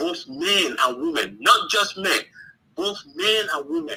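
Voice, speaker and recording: A man with an African accent talks at a fairly slow pace. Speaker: caller. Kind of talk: call-in debate. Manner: hesitant, many fillers.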